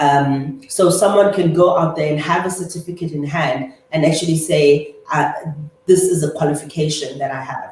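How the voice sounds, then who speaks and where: A woman at a fairly low pitch and moderate pace, with ordinary pitch variation, audible room echo and noticeable background noise. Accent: South African. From South Africa, Eastern Cape (Humansdorp). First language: Afrikaans. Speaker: chartered accountant and business owner. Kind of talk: interview.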